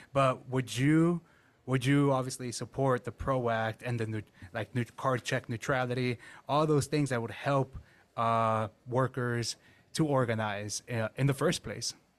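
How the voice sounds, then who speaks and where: A man with a normal speaking voice talks at a fairly slow pace and medium pitch with fairly even intonation, on a very clean recording with a silent background. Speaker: labor podcast host. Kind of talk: interview.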